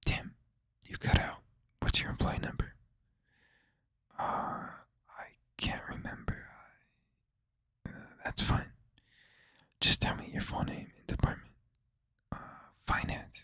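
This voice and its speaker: The words come out in a whisper, fairly slowly, broken by long and frequent pauses. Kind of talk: horror story narration. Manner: whispered.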